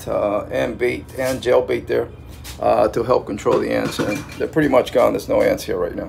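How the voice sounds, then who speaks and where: With music in the background, a man talks at a moderate pace. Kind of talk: tutorial. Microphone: phone near.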